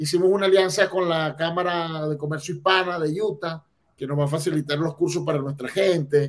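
This man has a normal speaking voice, pitched fairly high. He moves at a fairly quick pace with fairly even intonation. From Venezuela, Barquisimeto. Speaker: immigrant entrepreneur. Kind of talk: casual interview. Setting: video call.

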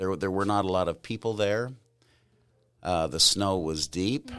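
A man with an American accent talks at a fairly slow pace in a very deep, low voice with ordinary pitch variation. The recording is very clean, with a silent background. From California. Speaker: grandfather interviewed about his life. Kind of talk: family interview.

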